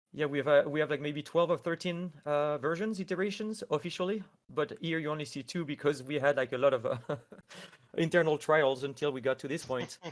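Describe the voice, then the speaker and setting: On a very clean recording with a silent background, a man with a French accent talks at a fairly quick pace, his fairly high pitch showing ordinary variation. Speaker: AI artist. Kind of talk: tutorial. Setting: live stream.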